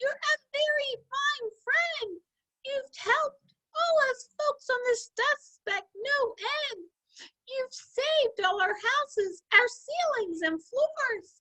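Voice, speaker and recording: In a put-on character voice, a woman speaks in a squeaky tone at a very slow pace. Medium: read story.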